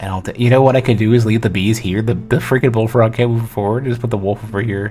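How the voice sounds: A natural reading voice carries the words with fairly even intonation.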